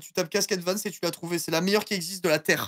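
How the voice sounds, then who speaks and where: Against a quiet background, a man speaks at a high pitch with fairly even intonation. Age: 30s. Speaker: streamer. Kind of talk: casual chat. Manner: playful. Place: home room. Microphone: headset.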